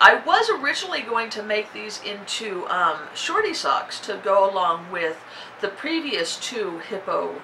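A woman speaks in a bright, sharp tone with big pitch swings. There are few pauses, and faint background noise sits underneath. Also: medium pitch for a woman, fairly slow pace.

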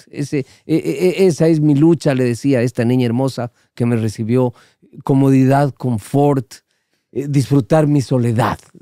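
A man's dark, mellow voice at medium pitch with ordinary pitch variation, a fairly slow pace, and a dry sound with no echo against a quiet background. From Guayaquil, Ecuador. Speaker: veteran radio broadcaster; podcast guest. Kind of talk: casual chat. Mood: humorous, relaxed storytelling. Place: studio. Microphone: studio mic.

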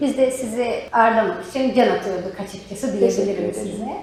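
Moderately paced woman's voice with ordinary pitch variation amid noticeable background noise. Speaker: interviewer. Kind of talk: interview host.

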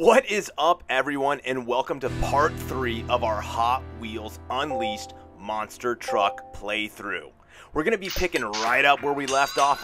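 A man at a fairly slow pace, upbeat in tone, with very wide pitch swings and music in the background. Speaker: gaming commentator. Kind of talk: video game commentary.

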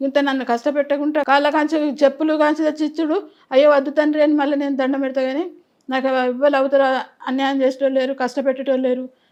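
A high-pitched woman with a Telangana accent, in a monotone, flat intonation, against a quiet background. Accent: Telangana Telugu. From Telangana, Karimnagar district. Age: 80s+. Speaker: elderly woman telling her life story. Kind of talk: interview testimony.

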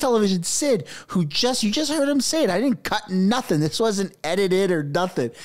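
In a Canadian accent, a man talks in an animated tone with lively intonation. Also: quiet background. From Canada. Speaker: political commentary YouTuber. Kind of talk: casual commentary. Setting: home studio with microphone. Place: home room. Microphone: studio mic.

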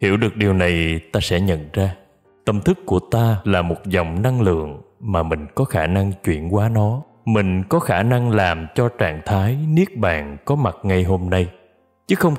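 A man talks at a fairly slow pace with a very deep, low pitch and a calm tone. His loudness stays very even, and his pitch varies in an ordinary way. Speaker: singer. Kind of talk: spiritual reading. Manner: slow, calm.

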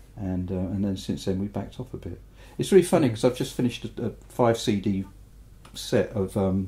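A man with a very deep, low pitch and an English accent talks at a moderate pace with ordinary pitch variation. His voice is somewhat breathy with a dark, mellow tone. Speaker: mastering engineer and record producer. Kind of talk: interview. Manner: hesitant, many fillers.

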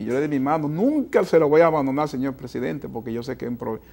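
A man is speaking. His tone is dark and mellow. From Dominican Republic, San Juan; Dominican Republic. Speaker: foundation president, optometry program director; TV interviewee. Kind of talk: TV interview. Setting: TV studio. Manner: hesitant with fillers. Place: studio. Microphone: lapel.

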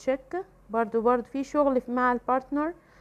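A woman speaks with a high pitch, ordinary pitch variation, and an Egyptian accent. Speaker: English teacher. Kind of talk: tutorial. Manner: hesitant with filler sounds.

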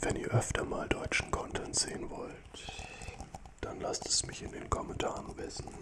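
There is loud background noise. A man speaks at a fairly slow pace. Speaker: ASMR content creator. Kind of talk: soft ASMR chat to viewers. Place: studio. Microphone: studio mic.

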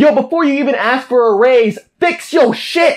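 Over clearly audible background noise, a man talks rather slowly. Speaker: comedy vlogger. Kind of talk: comedic vlog rant. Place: home room.

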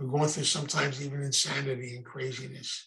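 A man with an American accent talks at a fairly quick pace, sounding somewhat breathy. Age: 80s+. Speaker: recovery program speaker. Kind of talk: lecture. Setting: video call.

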